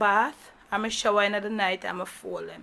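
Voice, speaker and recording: A woman talks at a fairly quick pace with a Jamaican accent. Her voice is fairly high and has a bright, sharp tone, with monotone, flat intonation. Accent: Jamaican, with patois. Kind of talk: casual vlog talk to camera.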